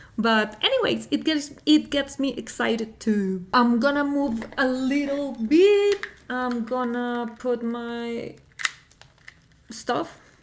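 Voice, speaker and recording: A high-pitched woman with a Spanish accent and lively intonation, amid noticeable background noise. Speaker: music reaction youtuber. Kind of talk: casual vlog talk to camera. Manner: halting, many fillers.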